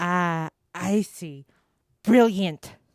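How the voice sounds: A woman puts on a cartoonish character voice at a medium pitch.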